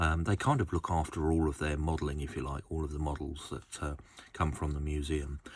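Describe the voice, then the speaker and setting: With an Essex accent, a man speaks at a fairly quick pace in a very deep, low pitch, somewhat breathy and relaxed in tone, his intonation monotone and flat. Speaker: model railway collector and video host. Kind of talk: casual product review. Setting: home workshop. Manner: relaxed, many fillers.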